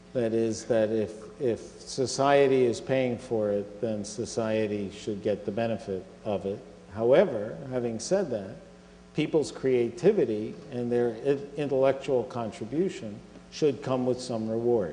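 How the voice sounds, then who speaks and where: Amid noticeable background noise and audible room echo, a man with an American accent speaks at a fairly slow pace, his medium pitch showing ordinary variation. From US Northeast (Philadelphia). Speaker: scientific organization chief executive. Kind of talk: Q&A after a public lecture.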